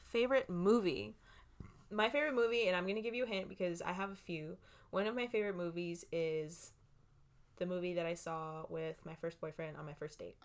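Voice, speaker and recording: Here is a woman with a plain, everyday voice and an American accent, pitched fairly low. Her intonation is lively and her pace fairly quick. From Los Angeles, California. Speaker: podcast co-host. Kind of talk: casual chat.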